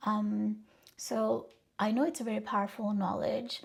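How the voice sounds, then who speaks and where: At a moderate pace, a woman speaks with a Bengali accent. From Bangladesh, then Texas from age 12. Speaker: personal growth vlogger. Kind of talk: casual introduction vlog. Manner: casual with many fillers.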